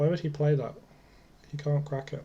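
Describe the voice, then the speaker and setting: A dark, mellow, somewhat breathy voice with monotone, flat intonation. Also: man. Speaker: card game player. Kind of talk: casual gameplay commentary.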